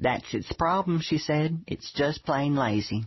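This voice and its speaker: A somewhat breathy voice at a moderate pace. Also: man. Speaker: audiobook narrator reading a memoir. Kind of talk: audiobook narration, comic memoir read.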